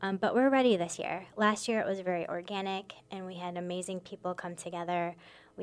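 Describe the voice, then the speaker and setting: A woman with an American accent speaks at a fairly quick pace. Her pitch sits fairly low. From Michigan, US Midwest. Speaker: immigration lawyer and advocacy director. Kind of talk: radio interview. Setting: radio studio.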